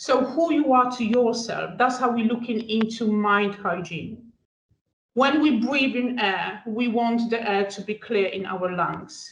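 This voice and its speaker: This speaker talks at a fairly slow pace with a Polish accent and ordinary pitch variation. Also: woman, fairly high pitch for a woman. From Poland. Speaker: student wellbeing adviser. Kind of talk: panel discussion. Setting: podcast recording.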